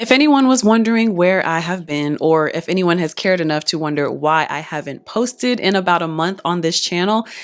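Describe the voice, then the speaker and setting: A woman talks at a fairly quick pace with hardly any pauses and lively intonation. She has an unremarkable speaking voice. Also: fairly low pitch for a woman. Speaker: singer and performer. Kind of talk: casual talk to camera.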